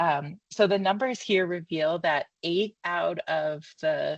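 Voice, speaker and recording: A woman with a fairly low pitch speaks over a quiet background, the sound dry and close with no echo. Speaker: marketing consultant. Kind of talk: presentation of findings. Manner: fast; halting, many fillers.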